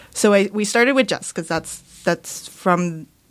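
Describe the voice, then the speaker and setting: Recorded very cleanly against a silent background, a woman with a Californian accent speaks with ordinary pitch variation. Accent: Californian American. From Los Angeles, San Gabriel Valley. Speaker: author. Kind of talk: casual interview. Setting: studio.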